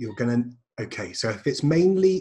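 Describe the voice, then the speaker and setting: A man speaks at a moderate pace with a dark, mellow tone and a somewhat breathy quality. His intonation is lively. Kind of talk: casual chat.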